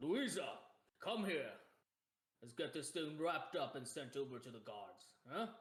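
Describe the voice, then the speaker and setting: A man puts on a gruff character voice at a fairly high pitch, with very wide pitch swings. His loudness swings greatly, and his pace is moderate. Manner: brusque, commanding.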